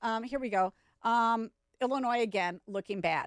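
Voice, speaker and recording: In an American accent, a woman with an unremarkable speaking voice talks at a moderate pace with ordinary pitch variation, the sound dry and close with no echo. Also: very clean recording, silent background. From US Midwest, South Dakota. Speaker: radio talk show host. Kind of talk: radio talk show monologue. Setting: radio studio.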